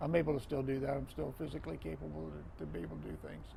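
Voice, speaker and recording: Audible room echo surrounds the recording. A man speaks at a fairly quick pace. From Florida, US. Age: 60s. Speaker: retired football referee. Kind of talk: casual interview conversation.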